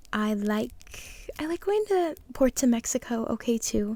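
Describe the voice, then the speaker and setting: Soft-spoken, a woman whispers. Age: 20s. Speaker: ASMR creator. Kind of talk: ASMR Q&A talking to camera. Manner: soft-spoken, whispery.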